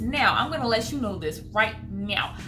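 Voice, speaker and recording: With music in the background and audible room echo, the speech moves at a fairly quick pace. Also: woman. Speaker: movie review youtuber. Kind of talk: casual vlog review. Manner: fast; animated.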